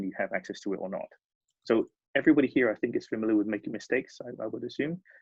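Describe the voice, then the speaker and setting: Speaking very fast, a man talks with a British accent. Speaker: design studio leader. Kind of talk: presentation.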